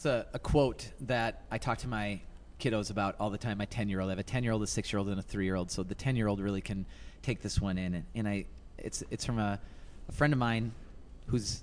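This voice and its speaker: Speaking at a fairly quick pace, a man with a fairly low pitch and fairly even intonation has an ordinary speaking voice. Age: 30s. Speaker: youth motivational speaker. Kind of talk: casual interview. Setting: live at a conference venue.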